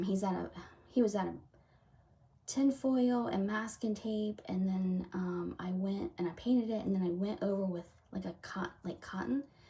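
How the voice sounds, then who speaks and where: A somewhat breathy woman's voice with a dark, mellow tone, an American accent, a moderate pace and ordinary pitch variation. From US South. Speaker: craft video creator. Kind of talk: casual chat. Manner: halting. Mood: warm and relaxed. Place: home room. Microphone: camera far.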